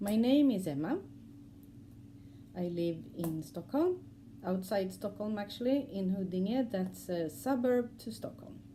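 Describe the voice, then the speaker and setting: In a Swedish accent, a woman with a medium pitch and a dark, mellow, somewhat breathy tone speaks at a fairly slow pace with long, frequent pauses. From Sweden. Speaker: cross-stitch vlogger. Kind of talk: casual vlog talk. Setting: at home. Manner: halting, many fillers.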